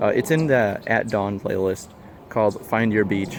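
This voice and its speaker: A man's fairly quick speech with ordinary pitch variation over noticeable background noise. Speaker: vlogger. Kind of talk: casual rambling monologue. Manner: halting, repeats words and stutters; hesitant with many fillers.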